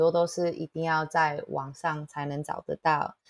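A woman's fairly low voice at a moderate pace, on a very clean recording with a silent background and a dry, close sound with no echo. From Toronto, Canada (from age 8, born in Taitung). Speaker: café owner and chef. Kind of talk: interview, casual chat.

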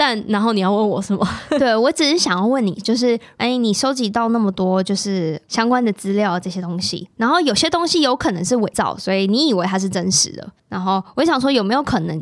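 A woman talks in a normal speaking voice at a fairly quick pace. Her intonation is lively and her pitch fairly high. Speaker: podcast host. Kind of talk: casual chat.

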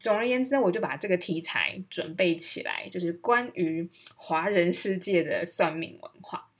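Lively intonation at a moderate pace, with hardly any pauses, over noticeable background noise. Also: woman, medium pitch for a woman. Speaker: podcast host. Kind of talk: casual monologue. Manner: animated.

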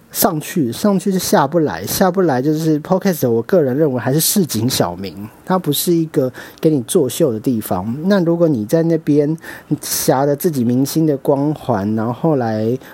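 With a Taiwanese accent, a man talks at a moderate pace using lively intonation. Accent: Taiwanese Mandarin. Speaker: podcast host, media marketing worker. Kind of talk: casual solo monologue. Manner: rambling, stream of consciousness.

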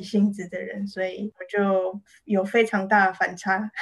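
Over noticeable background noise, a woman speaks at a fairly slow pace in a monotone, flat intonation. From Taiwan. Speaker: illustrator and author. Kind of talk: interview.

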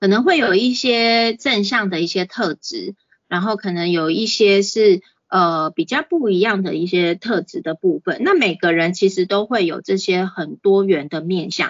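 A woman with a Taiwanese accent speaks at a medium pitch with lively intonation. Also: fairly slow pace. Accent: Taiwanese Mandarin. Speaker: clinical psychologist giving a parenting talk. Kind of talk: lecture. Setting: online class on video call. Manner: frequent fillers and hesitations.

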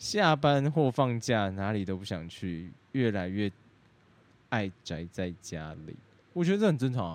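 A man speaks at a fairly slow pace with a fairly low pitch. His pitch swings very widely. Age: 20s. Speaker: podcast co-host. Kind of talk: casual chat.

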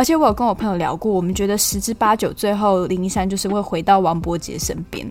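Over music in the background, a woman talks at a very fast pace and medium pitch with hardly any pauses and ordinary pitch variation. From Taiwan, Tainan (Yongkang). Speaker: podcast host, film commentator. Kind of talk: casual podcast talk and film review.

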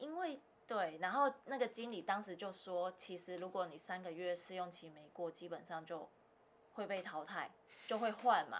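This is a normal speaking voice: a woman at a moderate pace with a medium pitch. Her loudness swings a lot, and her pitch varies in an ordinary way. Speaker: securities broker. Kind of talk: casual interview. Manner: laughs often.

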